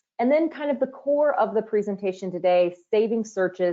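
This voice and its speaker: With lively intonation, a woman uses a normal speaking voice at a moderate pace. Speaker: user training manager presenting a webinar. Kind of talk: webinar presentation. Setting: online webinar.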